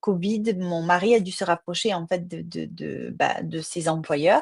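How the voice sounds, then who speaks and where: A woman with a fairly low pitch and fairly even intonation is heard in a dry, close sound with no echo. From southern France, Marseille. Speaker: crime novelist. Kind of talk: interview. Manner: hesitant with fillers.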